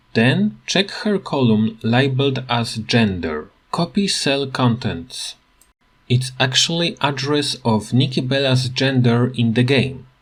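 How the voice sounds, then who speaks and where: In a very clean recording with a silent background, a man with a non-native accent speaks at a very slow pace in a somewhat breathy, medium-pitched voice, his loudness very even and his intonation lively. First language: not English. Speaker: gaming tutorial youtuber. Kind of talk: tutorial.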